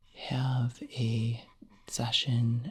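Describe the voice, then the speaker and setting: The speaker is soft-spoken, with a relaxed tone. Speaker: ASMR creator. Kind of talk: soft-spoken ASMR chat to camera. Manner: soft-spoken, relaxed, rambling.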